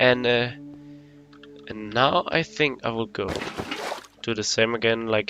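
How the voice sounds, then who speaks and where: A man's medium-pitched voice at a fairly slow pace, with long, frequent pauses, fairly even intonation, and music in the background. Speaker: gaming youtuber. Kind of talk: gameplay commentary. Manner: halting.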